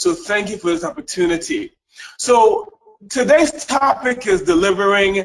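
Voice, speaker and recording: Lively intonation in a Caribbean accent. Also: man. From US Virgin Islands (St. Thomas), Caribbean. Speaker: leadership and service excellence speaker. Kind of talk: webinar presentation. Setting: webinar, remote.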